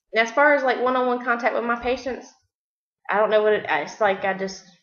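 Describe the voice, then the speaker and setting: Very fast speech from a woman with a Southern US accent, fairly high in pitch, with ordinary pitch variation. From US South, South Carolina. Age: 30s. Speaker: nurse. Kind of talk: self-introduction video. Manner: halting.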